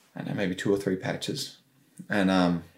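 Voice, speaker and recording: In a normal speaking voice, a man's words come out fairly quickly. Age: 30s. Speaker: podcast host and hunter. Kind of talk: casual chat.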